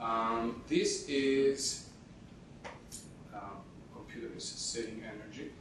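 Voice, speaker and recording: A man speaks very slowly at a medium pitch in a monotone, flat delivery. Long, frequent pauses break it up, and audible room echo surrounds the voice. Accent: non-native. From Italy (Rome). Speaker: panel moderator, professor. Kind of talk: conference panel presentation. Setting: conference stage with audience. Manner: halting, many fillers.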